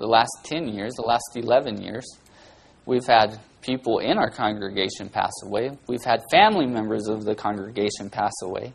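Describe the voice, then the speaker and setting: Talking at a moderate pace and medium pitch, this man has an unremarkable speaking voice. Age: 40s. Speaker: guest preacher filling in for pastor. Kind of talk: sermon.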